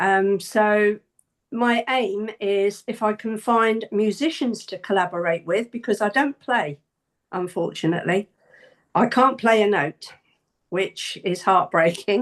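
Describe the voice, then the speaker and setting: A woman's unremarkable speaking voice, fairly high in pitch, at a fairly slow pace, with ordinary pitch variation over a quiet background. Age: 60s. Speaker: singer. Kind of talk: casual chat.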